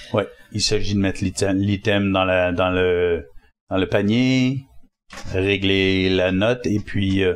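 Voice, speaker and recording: Speaking at a very slow pace with long, frequent pauses, a man uses a fairly low pitch, very even loudness and fairly even intonation. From Quebec. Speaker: spiritual teacher and author. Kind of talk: interview conversation.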